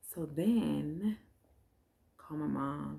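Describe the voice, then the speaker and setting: A woman whispering. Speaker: vlogger, new mother. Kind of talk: casual chat. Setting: at home, recording late at night. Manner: low energy.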